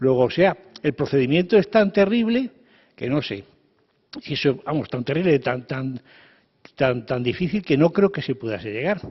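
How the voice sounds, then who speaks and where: The voice is somewhat breathy, with very wide pitch swings at a moderate pace. Long pauses come often. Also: man, fairly high pitch for a man. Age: 70s. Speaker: panelist at a round table. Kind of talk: panel discussion. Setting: lecture hall with audience. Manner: halting.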